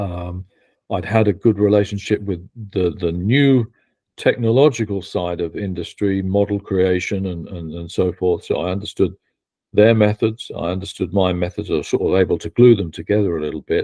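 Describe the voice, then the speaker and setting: The speaker has a British accent and a moderate pace. The intonation stays fairly even. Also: man, fairly low pitch for a man. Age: 50s. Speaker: betting industry consultant and educator. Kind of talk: podcast interview. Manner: halting, many false starts.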